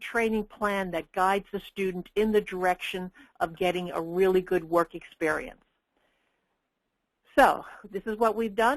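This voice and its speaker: The recording is dry and close with no echo, capturing a woman with an ordinary speaking voice. She talks at a moderate pace and medium pitch with fairly even intonation. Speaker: work-based learning educator and webinar presenter. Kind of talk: webinar presentation. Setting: webinar.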